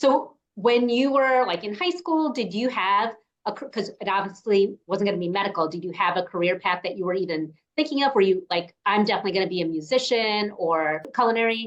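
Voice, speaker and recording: A woman with an American accent speaks at a fairly quick pace in an unremarkable speaking voice. Her pitch sits in the medium range, with lively intonation. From New York, US. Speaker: podcast host. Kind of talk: interview conversation.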